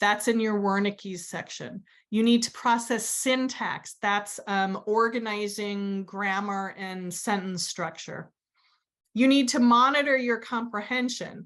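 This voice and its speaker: An unremarkable speaking voice from a woman with an American accent, medium pitch, ordinary pitch variation and a fairly slow pace against a quiet background. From US Southwest, New Mexico. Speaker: educational therapist and instructor. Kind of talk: webinar lecture. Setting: online webinar.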